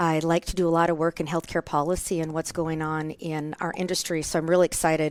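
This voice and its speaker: A woman with a Minnesota accent speaks in a fairly low pitch and a monotone, flat intonation. The sound is dry and close with no echo, in a very clean recording with a silent background. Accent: Minnesotan, Scandinavian-tinged. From US Upper Midwest, Minnesota. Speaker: nurse anesthetist, guest co-host. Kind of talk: podcast interview. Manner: fast.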